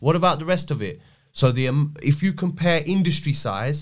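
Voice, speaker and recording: Somewhat breathy, this man's voice sits fairly high in pitch. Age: 30s. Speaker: crypto and blockchain specialist. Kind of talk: casual interview chat. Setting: studio.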